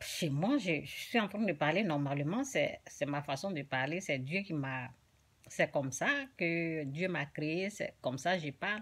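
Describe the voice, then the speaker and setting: At a fairly slow pace, a woman speaks in a very deep, low-pitched voice. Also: ordinary pitch variation. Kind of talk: informal religious teaching. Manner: soft-spoken; halting.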